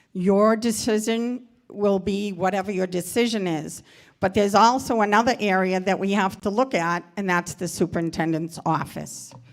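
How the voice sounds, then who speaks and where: In a normal speaking voice, a woman talks at a moderate pace and medium pitch with ordinary pitch variation. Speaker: retired teacher, resident speaking at meeting. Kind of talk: public comment at meeting.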